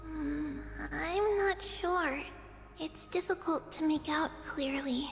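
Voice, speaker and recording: A woman does a put-on character voice in a high pitch at a very slow pace, with clear background noise. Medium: video game.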